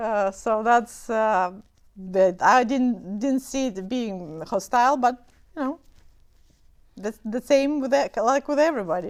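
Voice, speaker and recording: A woman speaks at a fairly high pitch with lively intonation and long, frequent pauses. The recording is very clean, with a silent background. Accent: Romanian. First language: Romanian. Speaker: memoir author. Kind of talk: interview. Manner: halting, many fillers.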